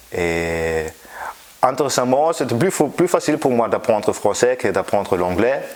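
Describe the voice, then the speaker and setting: Noticeable background noise runs under this recording. A man with a German accent speaks at a fairly slow pace. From Germany. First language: German (speaking French). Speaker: physics professor. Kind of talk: interview. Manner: halting, many hesitations.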